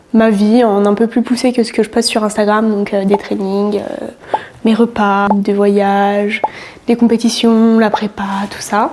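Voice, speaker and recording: A woman speaks at a fairly slow pace in a fairly high, monotone voice with flat intonation, leaving long, frequent pauses over noticeable background noise. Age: 20s. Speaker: fitness coach and bodybuilding athlete. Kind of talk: casual vlog talk to camera. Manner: hesitant, many fillers.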